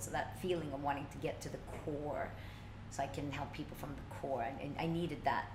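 Amid noticeable background noise and audible room echo, a woman with a very deep, low pitch and ordinary pitch variation talks at a fairly quick pace. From Sweden (Stockholm). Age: 40s. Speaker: life coach. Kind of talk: interview.

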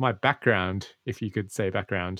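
Someone with an Australian accent talks at a moderate pace on a very clean recording with a silent background and a dry, close sound with no echo. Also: man. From Australia, Sydney. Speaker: podcast creator and host. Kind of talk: interview conversation.

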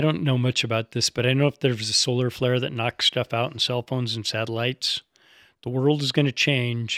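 A plain, everyday voice talks fairly quickly with fairly even intonation. The recording is very clean, with a silent background. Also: man, medium pitch for a man, dry, close sound with no echo. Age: 50s. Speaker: yamadori collector and hunter. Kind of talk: casual chat. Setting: studio.

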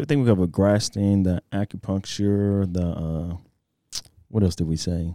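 A man with a Southeast Texas accent speaks at a moderate pace in a very deep, low voice with a dark, mellow tone and ordinary pitch variation, in a very clean recording with a silent background and a dry, close sound with no echo. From Texas, Port Arthur. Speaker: fitness podcast host. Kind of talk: casual podcast interview.

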